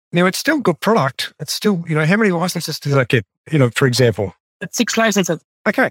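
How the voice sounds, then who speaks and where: Talking at a very fast pace in an Australian accent, a man uses a high pitch with very wide pitch swings in a dry, close sound with no echo. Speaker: podcast host and sales trainer. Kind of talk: interview.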